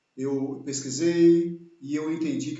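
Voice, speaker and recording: Audible room echo carries the voice of a man speaking at a fairly high pitch. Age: 60s. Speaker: channel host, engineer. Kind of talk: live video interview. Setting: home office, live stream.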